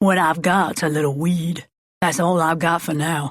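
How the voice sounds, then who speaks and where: A raspy, put-on character voice at a middle pitch and a moderate pace. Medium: read story. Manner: curt, dismissive.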